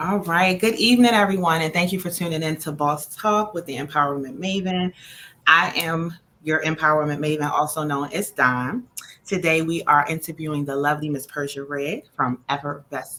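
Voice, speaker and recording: At a moderate pace, a woman with a very deep, low pitch speaks in a bright, sharp tone. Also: ordinary pitch variation. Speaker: podcast host. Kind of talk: casual interview. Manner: stumbling over words.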